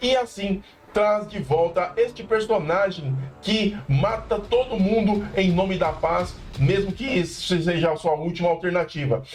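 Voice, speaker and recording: A man speaks in an animated tone at a high pitch. Noticeable background noise runs behind him. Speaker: pop culture youtuber. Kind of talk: casual review monologue. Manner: fast.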